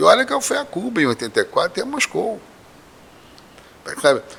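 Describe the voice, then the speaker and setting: Noticeable background noise runs behind a man whose speech keeps a moderate pace. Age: 60s. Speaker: professor and candomblé priest. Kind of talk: podcast interview.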